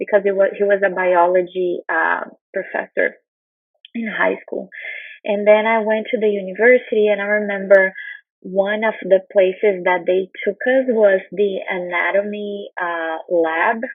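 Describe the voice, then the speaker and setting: Speaking at a fairly slow pace with a Brazilian Portuguese accent, a woman keeps a medium pitch and fairly even intonation. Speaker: nutrition researcher. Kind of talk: conference talk.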